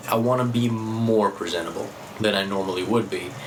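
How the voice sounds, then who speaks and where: A man talks at a moderate pace and medium pitch. There is audible room echo along with noticeable background noise. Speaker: vlogger. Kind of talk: vlog monologue.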